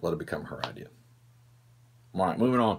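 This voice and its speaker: Here a man is talking. He has a Southern US accent. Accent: southern drawl. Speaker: firearms instructor. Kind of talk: Q&A show, casual talk to camera. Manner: casual, hesitant with many fillers.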